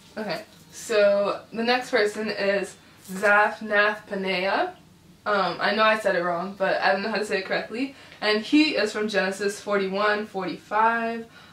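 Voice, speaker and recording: A woman's upbeat voice at a medium pitch and moderate pace, with audible room echo. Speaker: YouTuber host. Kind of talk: casual talk to camera. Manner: upbeat, chatty. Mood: playful, laughing. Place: home room.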